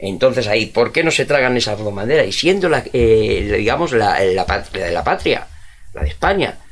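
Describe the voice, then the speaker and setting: The man talks at a moderate pace with a medium pitch. His pitch swings very widely. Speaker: history teacher. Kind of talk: casual chat.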